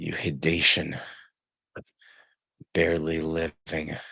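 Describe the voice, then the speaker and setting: This man speaks at a very slow pace. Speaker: live streamer reading literature. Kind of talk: casual live stream chat. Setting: live stream.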